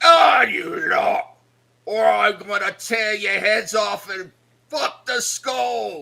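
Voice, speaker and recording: Shouting in a put-on character voice, a man speaks very slowly at a high pitch. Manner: menacing.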